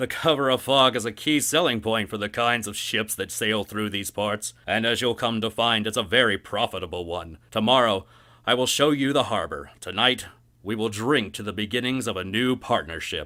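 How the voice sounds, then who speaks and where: A man bellows in a put-on character voice, raised and projected, at a medium pitch and moderate pace. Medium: read story. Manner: gruff, bossy.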